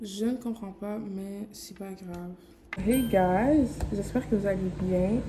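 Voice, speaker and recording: At a very slow pace, a woman speaks at medium pitch with ordinary pitch variation against noticeable background noise. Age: 20s. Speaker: graphic designer. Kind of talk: vlog. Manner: casual, filler-heavy.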